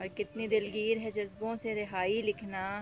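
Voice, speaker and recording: A woman talks in a fairly even tone while music plays behind her. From Pakistan. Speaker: poet. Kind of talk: poetry reading.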